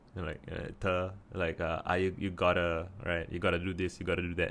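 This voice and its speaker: At a moderate pace, a man talks with a Singaporean accent. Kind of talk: casual talk to camera.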